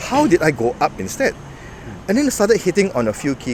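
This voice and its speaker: Over noticeable background noise, a man talks at a fairly quick pace with very wide swings in pitch. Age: 50s. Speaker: bodybuilding coach and lecturer. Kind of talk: interview.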